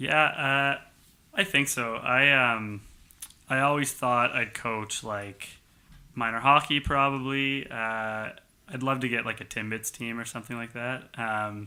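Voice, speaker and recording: The man's bright, sharp tone sits at medium pitch, with fairly even intonation and a fairly slow pace. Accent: Canadian Maritime. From Halifax, Nova Scotia, Canada. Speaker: pathology resident doctor. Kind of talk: casual chat.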